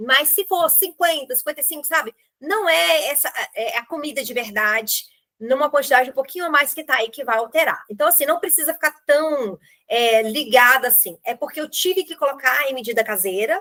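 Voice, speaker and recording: At a moderate pace, a woman projects a raised, high-pitched voice with a bright, sharp tone and lively intonation. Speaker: nutritionist. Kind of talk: online group meeting talk.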